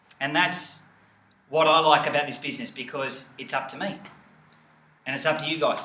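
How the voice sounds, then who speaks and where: An enthusiastic man with a fairly high pitch and an Australian accent, audible room echo around him. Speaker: health coach and network marketing team leader. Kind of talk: motivational team training video.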